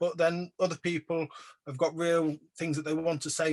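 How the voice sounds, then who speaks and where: With an English accent, a man speaks in a fairly high pitch and a flat monotone, the sound dry and close without echo. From England. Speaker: artist / photographer. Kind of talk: exhibition talk Q&A. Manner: hesitant, many fillers.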